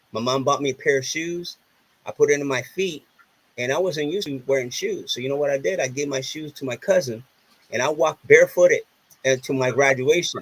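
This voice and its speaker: A man with a fairly high pitch sounds somewhat breathy. His pitch variation is ordinary, and the sound is dry and close with no echo. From Puerto Rico. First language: Spanish. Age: 30s. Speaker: author and entertainer. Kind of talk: casual chat.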